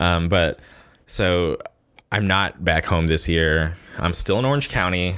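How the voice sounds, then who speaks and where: A man with an American accent speaks at a fairly slow pace in a very deep, low voice, with very even loudness. Long, frequent pauses break up his speech on a very clean recording with a silent background. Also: ordinary pitch variation. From Southern California, La Quinta near Palm Springs. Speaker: podcast host. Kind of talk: casual solo monologue. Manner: slight stutter; casual, filler-heavy.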